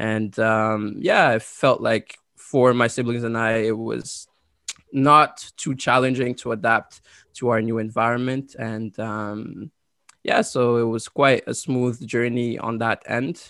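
A man with a French accent at a medium pitch and very slow pace, bright and sharp in tone, with fairly even intonation on a very clean recording against a silent background. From Côte d'Ivoire, then Ottawa, Canada. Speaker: university graduate and scholarship winner. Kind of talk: interview.

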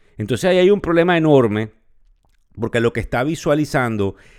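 Over a very clean recording with a silent background, a man with a Venezuelan accent talks at a moderate pace with lively intonation. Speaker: podcast host, finance professor. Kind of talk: market news commentary.

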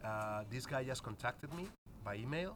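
Speaking with a Spanish accent, a man of medium pitch keeps a moderate pace and lively intonation. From Spain. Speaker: basketball coach. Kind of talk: casual interview chat. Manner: halting, searching for words.

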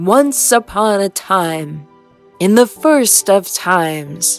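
A booming, put-on character voice that sounds female speaks very slowly at a middle pitch, with faint music in the background. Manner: grand, theatrical.

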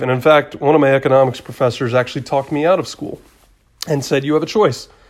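On a very clean recording with a silent background, a man talks with an American accent. He has a plain, everyday voice with a fairly high pitch and ordinary pitch variation. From Atlanta, Georgia, US South. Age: 30s. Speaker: real estate agent. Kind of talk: solo podcast monologue. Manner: casual, many filler words.

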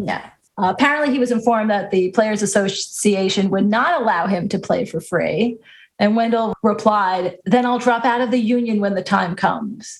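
In an American accent, a woman speaks at a moderate pace with a fairly high, somewhat breathy voice and ordinary pitch variation. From US Northeast, Long Island. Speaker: baseball podcast co-host. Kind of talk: casual chat.

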